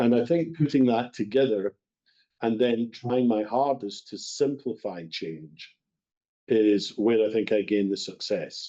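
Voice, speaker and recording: A man's dark, mellow voice in a Scottish accent, at a fairly slow pace. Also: medium pitch for a man, ordinary pitch variation. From west of Scotland. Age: 60s. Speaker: bakery company executive. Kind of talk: podcast interview.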